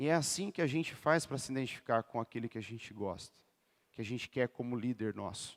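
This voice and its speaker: Delivered at a fairly quick pace in an animated tone with lively intonation, the speech has a dry, close sound with no echo on a very clean recording with a silent background. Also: man, medium pitch for a man. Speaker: lay preacher and PE teacher. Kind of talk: sermon.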